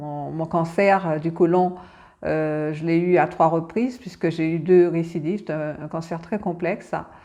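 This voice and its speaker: A woman speaks fairly slowly in a fairly low pitch, her tone dark and mellow and her intonation fairly even. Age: 60s. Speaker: cancer patient expert and advocate. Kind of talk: testimony. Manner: halting, many hesitations and repetitions.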